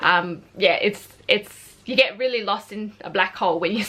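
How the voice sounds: In an Australian accent, a woman speaks at medium pitch and a fairly slow pace. Her tone is bright and sharp, and her intonation lively.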